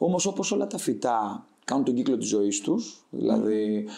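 This man has a plain, everyday voice at medium pitch, with lively intonation. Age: 20s. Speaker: startup founder. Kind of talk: interview.

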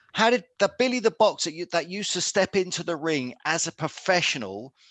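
With a southern English accent, a high-pitched man speaks with lively intonation in a dry, close sound with no echo and a quiet background. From Luton, Bedfordshire, England. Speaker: former professional boxer. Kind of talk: interview.

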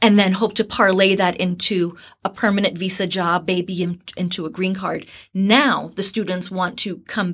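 A woman speaks at a moderate pace with fairly even intonation, at a medium pitch, in an unremarkable speaking voice. The recording is very clean, with a silent background. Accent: American. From New Jersey, US. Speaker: university recruiter. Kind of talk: interview conversation.

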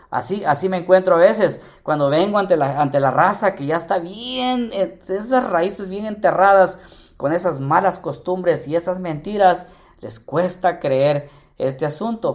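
With an animated tone, a man speaks at a fairly slow pace in a high-pitched voice. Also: ordinary pitch variation. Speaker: personal finance radio host. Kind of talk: live radio talk show.

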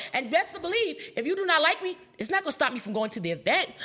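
Over noticeable background noise, a woman speaks very fast in a raised, projected voice, with an animated tone and lively intonation. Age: 30s. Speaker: entrepreneur and TV personality. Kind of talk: live interview. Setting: live event with audience.

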